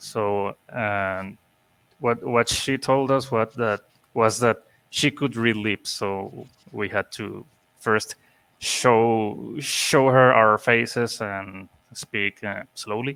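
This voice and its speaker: In a dry, close sound with no echo, a man with a bright, sharp tone talks at a very slow pace with fairly even intonation. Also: medium pitch for a man. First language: not English. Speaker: interview show host. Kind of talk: casual chat.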